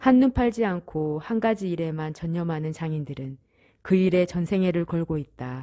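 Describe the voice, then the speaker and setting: Her pitch fairly low, a woman uses a dark, mellow tone and lively intonation at a moderate pace. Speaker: amateur narrator. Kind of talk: reading aloud. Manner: halting; strong enunciation.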